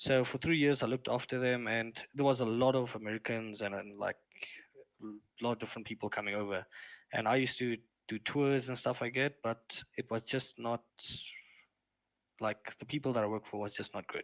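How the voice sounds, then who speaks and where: In a very clean recording with a silent background and a dry, close sound with no echo, a man with a South African accent speaks at a fairly quick pace and medium pitch, with long, frequent pauses. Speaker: streamer, former wildlife lodge worker. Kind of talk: casual chat.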